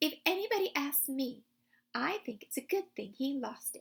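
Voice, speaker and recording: A woman speaks in a high, put-on character voice. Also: moderate pace. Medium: read story.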